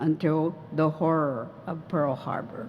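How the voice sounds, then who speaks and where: With an American accent, a woman speaks very slowly at a fairly low pitch over noticeable background noise. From California, US. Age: 70s. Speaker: former wartime internee. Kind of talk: testimony.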